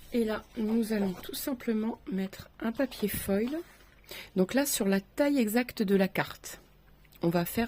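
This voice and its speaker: Speaking at a very slow pace, a woman with a fairly high pitch has a dark, mellow tone that is somewhat breathy, with ordinary pitch variation. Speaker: craft tutorial creator. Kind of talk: tutorial. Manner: soft-spoken.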